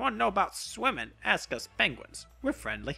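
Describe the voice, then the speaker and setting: Faint music plays in the background. A man uses a put-on character voice at a fairly quick pace. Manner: friendly.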